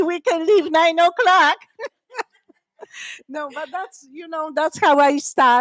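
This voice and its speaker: A woman with a Polish accent, in a dry, close sound with no echo. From Poland, Krakow. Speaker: wearable art designer. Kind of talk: interview at live talk event. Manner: chaotic.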